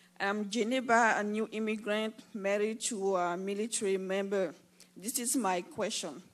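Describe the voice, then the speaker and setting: Speaking at a fairly slow pace with a non-native accent, a woman uses a fairly high pitch and ordinary pitch variation. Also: very clean recording, silent background. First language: not English. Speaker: audience member. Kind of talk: question at town hall. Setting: town hall with audience.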